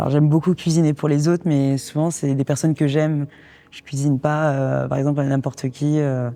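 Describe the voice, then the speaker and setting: Speaking at a fairly quick pace, a woman has a very deep, low pitch. Her intonation is monotone and flat. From Paris region, France. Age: 20s. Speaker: couple telling their love story. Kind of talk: casual interview-style storytelling.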